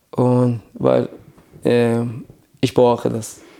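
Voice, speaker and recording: Dark, mellow tone in a man's voice of medium pitch. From Iran. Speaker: refugee sharing faith story. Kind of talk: testimony. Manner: halting.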